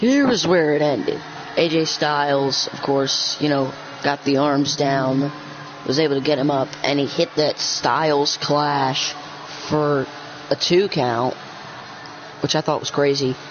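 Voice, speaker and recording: Pauses come often and stretch long. The delivery is fairly slow, with clear background noise beneath it. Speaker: gaming commentator. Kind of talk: casual chat; live commentary. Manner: casual.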